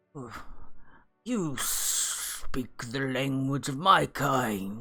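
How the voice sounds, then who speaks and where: This put-on character voice is raspy with a low-to-middle pitch. It moves at a very slow pace. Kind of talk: formal, archaic. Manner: surprised, pompous.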